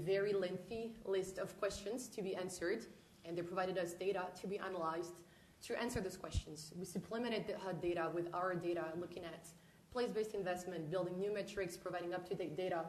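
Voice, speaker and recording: A woman in a French accent at a fairly quick pace, with audible room echo and noticeable background noise. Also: medium pitch for a woman, fairly even intonation. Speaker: housing researcher presenting to city council. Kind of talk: presentation. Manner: formal.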